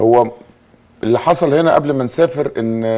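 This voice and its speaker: This man speaks with an Egyptian accent. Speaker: handball coach. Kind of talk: interview.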